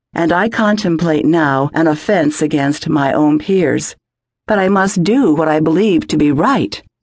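Against a quiet background, a woman with a fairly low pitch speaks in a dramatic tone at a fairly slow pace, with ordinary pitch variation and very even loudness. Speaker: audiobook narrator. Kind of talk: scripted audiobook narration, first-person fantasy, reading aloud. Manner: dramatic, tense and measured, with urgent storytelling pace.

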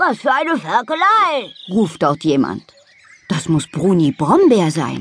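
A woman's gentle, warm voice at medium pitch, with very wide pitch swings and noticeable background noise. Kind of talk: audiobook children's bedtime story reading, narrated fairy tale. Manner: animated, playful, lively storytelling tone with character voices; gentle, warm, cheerful pacing suited to small children.

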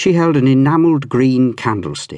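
Against a quiet background, a man talks in a plain, everyday voice at medium pitch, at a fairly slow pace with ordinary pitch variation. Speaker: audiobook narrator. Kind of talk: audiobook reading of a memoir, nostalgic rural childhood recollection. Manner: slow, warm, gently nostalgic, measured storytelling pace; wry, dryly humorous in places, vivid and unhurried.

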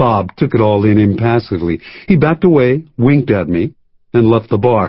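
This is an unforced reading voice. The text is read that way throughout.

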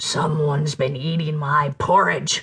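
A woman's put-on character voice, growling at a fairly slow pace with a very deep, low pitch

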